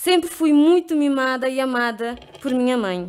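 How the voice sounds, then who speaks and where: Against a quiet background, a woman talks at a high pitch with ordinary pitch variation. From Cape Verde. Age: 20s. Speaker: leadership program participant. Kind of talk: personal testimony speech. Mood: earnest, reflective. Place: hall. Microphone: podium.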